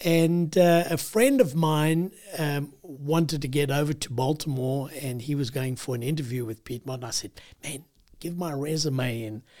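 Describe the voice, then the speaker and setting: The speaker has a South African accent. The pace is moderate. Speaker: retired missionary. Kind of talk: casual interview.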